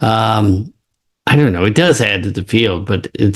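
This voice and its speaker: A man talks at a moderate pace with a fairly low pitch. His voice is somewhat breathy. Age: 70s. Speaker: neuroscience professor. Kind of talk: interview.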